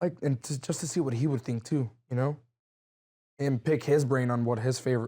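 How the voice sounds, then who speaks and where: A dark, mellow tone at a fairly quick pace, with fairly even intonation and long, frequent pauses. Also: man. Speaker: mariachi trumpet player and vocalist. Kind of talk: interview conversation. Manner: loud; halting, many fillers.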